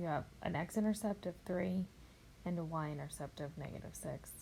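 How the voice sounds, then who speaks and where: Somewhat breathy and fairly low-pitched, a woman speaks at a fairly slow pace with lively intonation. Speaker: math teacher. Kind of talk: tutorial.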